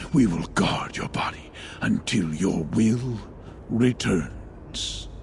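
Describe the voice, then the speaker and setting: Over clear background noise, a man uses a put-on character voice at a very slow pace. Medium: video game. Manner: measured, solemn.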